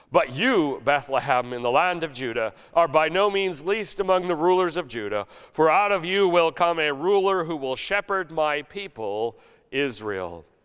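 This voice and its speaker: In a normal speaking voice, a man talks at a moderate pace with lively intonation and a fairly high pitch. The background is quiet. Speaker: pastor. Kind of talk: sermon delivered to a congregation.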